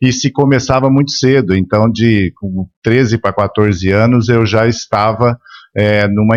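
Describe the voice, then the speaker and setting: Moderate pace and ordinary pitch variation, in a dry, close recording with no echo against a quiet background. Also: man. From São Paulo, Brazil. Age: 60s. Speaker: media and marketing executive. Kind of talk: interview podcast. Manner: halting, repeats words.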